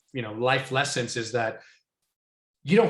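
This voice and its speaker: A man speaks in a somewhat breathy voice. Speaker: software industry consultant. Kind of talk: Q&A talk. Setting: video call.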